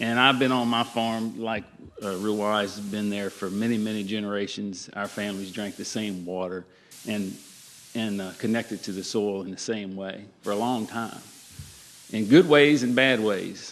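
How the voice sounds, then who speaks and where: With a Virginia accent, a man talks at a moderate pace in a fairly low pitch and with fairly even intonation. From Virginia, US South. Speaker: farmer. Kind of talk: panel discussion.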